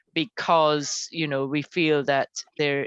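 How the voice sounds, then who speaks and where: A woman speaks in a very deep, low voice. Her pace is fairly slow. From Guyana. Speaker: university lecturer. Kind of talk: academic presentation. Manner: halting, many fillers.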